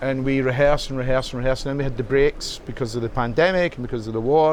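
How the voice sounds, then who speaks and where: With clear noise behind him, this man speaks at a medium pitch and a very fast rate, his intonation staying mostly flat. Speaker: musician. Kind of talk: interview. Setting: rock club. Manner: halting.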